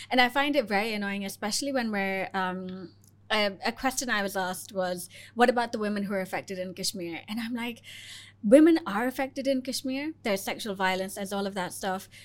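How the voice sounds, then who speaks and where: The pace here is fairly quick, and the pitch varies in an ordinary way. It is an ordinary speaking voice on a very clean recording with a silent background. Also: woman, medium pitch for a woman. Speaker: podcast host. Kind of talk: casual interview.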